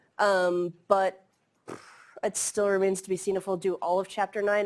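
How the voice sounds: A woman speaks with a slightly mellow tone. Her pitch barely moves.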